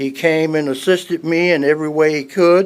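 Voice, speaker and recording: Speech from a man on a very clean recording against a silent background. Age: 70s. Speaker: resident speaking at public comment. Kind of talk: public comment testimony. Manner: halting, frequent fillers.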